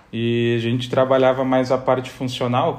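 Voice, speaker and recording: At a moderate pace and medium pitch, a man speaks in a flat monotone with audible room echo. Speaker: athletic trainer and former footballer. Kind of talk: casual interview.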